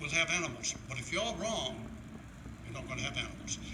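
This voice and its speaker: Speaking fairly quickly, a man is heard through audible room echo and noticeable background noise. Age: 80s+. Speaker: veteran trapper. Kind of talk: reminiscing talk. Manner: halting.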